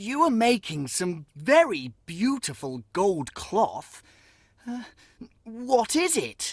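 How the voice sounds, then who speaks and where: Using a put-on character voice, a man speaks at a very slow pace with a high pitch and very wide pitch swings, in a very clean recording with a silent background. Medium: read story.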